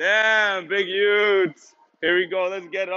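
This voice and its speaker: A man's voice, high in pitch. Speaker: fitness instructor. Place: gym.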